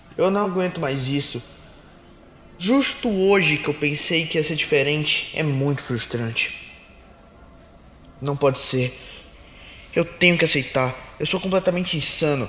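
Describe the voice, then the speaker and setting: Over noticeable background noise, a man with a fairly high voice speaks at a fairly slow pace with ordinary pitch variation and long, frequent pauses. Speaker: voice actor / narrator of original anime-style stories. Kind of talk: first-person story narration, confessional tone. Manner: soft-spoken, relaxing.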